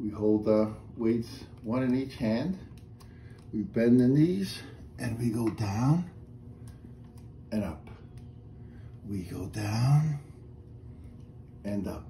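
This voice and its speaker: A man at a very slow pace over light background noise. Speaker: exercise instructor. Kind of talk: tutorial. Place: home room. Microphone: camera far.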